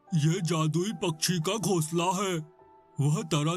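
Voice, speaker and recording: A man's cartoonish character voice, high in pitch and fairly slow, with faint music in the background. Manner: friendly, earnest.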